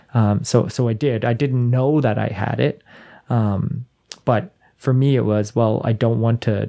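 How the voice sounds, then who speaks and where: A man with a Canadian accent has a dark, mellow tone at a medium pitch. He speaks at a fairly slow pace with fairly even intonation. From Canada. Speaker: podcast host. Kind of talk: casual chat.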